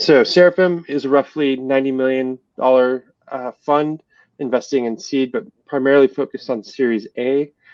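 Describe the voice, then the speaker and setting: Here a man with an American accent talks at a moderate pace in a medium pitch. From San Diego, California, US. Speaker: venture capital investor. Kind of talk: conference panel discussion. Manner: hesitant, many fillers.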